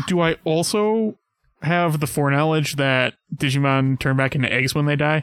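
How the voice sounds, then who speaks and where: At a moderate pace, a man with a plain, everyday voice talks at a fairly high pitch with ordinary pitch variation and very even loudness, dry and close with no echo. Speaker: podcast co-host. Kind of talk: casual chat.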